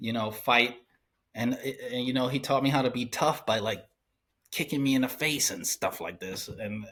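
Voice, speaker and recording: A man speaks in a normal speaking voice at a moderate pace, with a medium pitch and ordinary pitch variation. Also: very clean recording, silent background. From Cleveland, Ohio, US. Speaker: cartoonist and painter. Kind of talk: casual interview chat.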